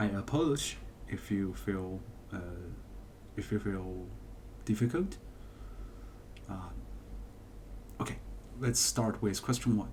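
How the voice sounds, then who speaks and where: The speaker has a non-native accent and a somewhat breathy voice. The pace is fairly slow, with long pauses that come often. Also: man, fairly low pitch for a man, ordinary pitch variation. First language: not English. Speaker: math teacher. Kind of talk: tutorial. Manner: halting, many fillers.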